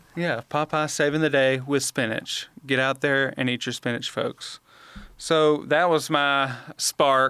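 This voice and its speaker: Very slowly and in a flat monotone, a man with a Southern US accent and a fairly high, bright, sharp voice speaks in a dry, close sound with no echo. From Alabama, Montgomery. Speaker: extension specialist podcast co-host. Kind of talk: casual chat.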